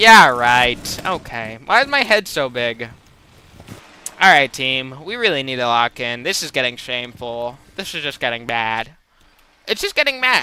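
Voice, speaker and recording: Someone talks at a fairly slow pace against noticeable background noise. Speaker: gaming streamer. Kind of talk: live gameplay commentary. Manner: loud.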